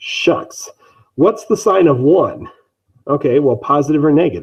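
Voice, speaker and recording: This voice has a somewhat breathy quality. It belongs to a man. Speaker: math teacher. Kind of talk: lecture. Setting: online live stream. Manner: fast.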